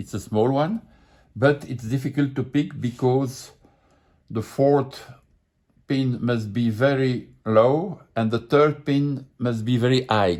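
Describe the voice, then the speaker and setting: Talking at a very slow pace, a man uses a medium pitch with ordinary pitch variation. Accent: French. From France. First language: French. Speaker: lockpicking hobbyist. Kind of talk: tutorial. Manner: halting.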